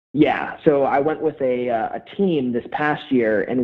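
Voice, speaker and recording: Very slowly, a man with an American accent speaks in a fairly high voice with ordinary pitch variation. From Pennsylvania, Harrisburg. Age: 20s. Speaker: former college football player, CrossFit athlete. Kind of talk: casual interview.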